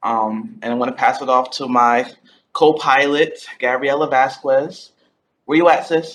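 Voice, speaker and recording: A man with an ordinary speaking voice and an American accent talks at a fairly slow pace, his fairly high pitch showing ordinary pitch variation. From Connecticut, Groton. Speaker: graduate intern and student advocate. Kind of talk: welcome introduction on video call. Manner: upbeat, casual.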